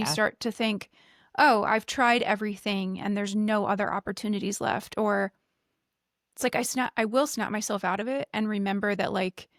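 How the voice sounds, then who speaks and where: A woman's medium-pitched, ordinary speaking voice at a moderate pace with fairly even intonation, in a very clean recording with a silent background and a dry, close sound with no echo. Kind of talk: podcast conversation between two hosts.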